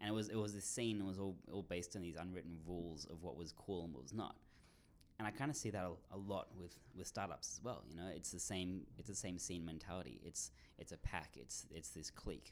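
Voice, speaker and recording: A man speaks with a very deep, low pitch and a creaky vocal fry. His intonation is lively. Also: fairly quick pace. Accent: Australian. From Australia. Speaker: writer and startup marketer. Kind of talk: interview. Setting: studio.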